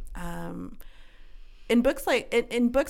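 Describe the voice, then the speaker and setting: With vocal fry, a woman talks at a fairly slow pace. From Quebec. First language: bilingual French and English. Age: 30s. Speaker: podcast host, book club. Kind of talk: casual chat. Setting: studio.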